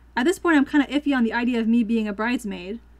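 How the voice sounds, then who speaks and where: Very fast and high-pitched, a woman's voice shows ordinary pitch variation. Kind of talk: reddit story reading.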